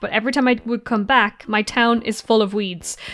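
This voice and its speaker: Her Irish accent comes with a fairly high pitch and a relaxed tone. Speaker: gamer. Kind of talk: casual let's play commentary. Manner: relaxed, chatty.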